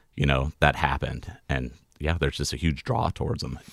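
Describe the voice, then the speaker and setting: A man with an American accent and vocal fry speaks at a moderate pace, his very deep, low pitch showing ordinary variation. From California. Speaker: poster artist. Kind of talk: casual interview chat.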